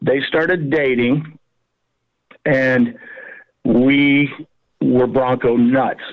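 A man's medium-pitched voice with an American accent, very slow and fairly even in intonation, broken by long, frequent pauses. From Colorado, US. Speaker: small business owner, fly tying tool maker. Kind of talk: casual interview.

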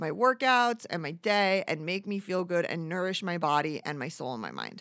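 Talking at a middling tempo, a woman uses a plain, everyday voice whose pitch rises and falls in a normal way. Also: very clean recording, silent background. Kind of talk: angry rant, profane venting about bad customers.

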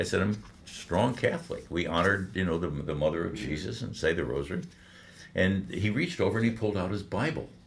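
A man speaks very fast with an American accent, his fairly low voice showing vocal fry. His pitch swings very widely, and the room echo is audible. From Michigan, Detroit. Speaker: veteran radio broadcaster. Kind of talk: interview storytelling, faith testimony.

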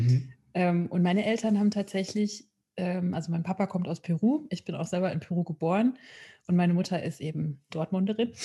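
A woman speaks at a fairly low pitch with a dark, mellow tone that is somewhat breathy. Her pace is moderate, her pitch variation ordinary, and the background quiet. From Ruhr area, Germany (Witten). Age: 30s. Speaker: peace worker and board member. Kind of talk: podcast interview.

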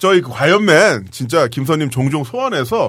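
Fairly high in pitch, a man with an unremarkable speaking voice talks with lively intonation. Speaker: podcast host. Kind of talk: casual chat. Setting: studio.

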